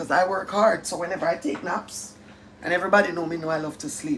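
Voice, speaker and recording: A woman speaks at a very fast pace with a strong Jamaican accent and a fairly low pitch. Her intonation is lively, with noticeable background noise behind her. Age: 50s. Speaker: live-stream host. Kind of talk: casual chat. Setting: live stream. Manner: animated.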